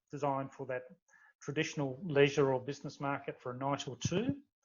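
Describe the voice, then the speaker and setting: Somewhat breathy and fairly high in pitch, a man speaks with an Australian accent. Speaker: startup founder. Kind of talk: interview. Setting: podcast recording. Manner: halting, many fillers and repeats.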